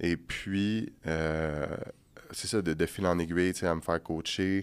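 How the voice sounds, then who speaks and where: A man with a Quebec accent speaks at a very slow pace in a very deep, low pitch. His intonation is fairly even, on a very clean recording with a silent background. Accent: Québécois French. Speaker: bodybuilder and massage therapist. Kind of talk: podcast interview. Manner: soft-spoken; calm, steady.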